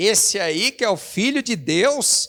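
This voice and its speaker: A man in a very clean recording with a silent background, the sound dry and close with no echo. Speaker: pastor. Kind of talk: sermon. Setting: church.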